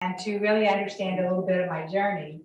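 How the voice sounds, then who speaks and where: In a Southern US accent, a woman speaks at medium pitch with fairly even intonation. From Alabama. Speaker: college professor. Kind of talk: guest talk at church.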